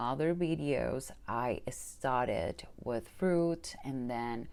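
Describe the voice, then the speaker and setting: A woman talks at a very slow pace. She has a Spanish accent. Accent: Spanish accent, noticeable. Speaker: manifestation coach. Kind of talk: personal testimony vlog. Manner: hesitant, many fillers.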